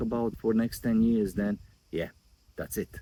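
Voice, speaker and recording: A man speaks with a non-native accent at a medium pitch and a moderate pace. His tone is dark and mellow, with ordinary pitch variation. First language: not English. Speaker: YouTube growth coach. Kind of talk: casual vlog talk to camera. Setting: outdoors by a river.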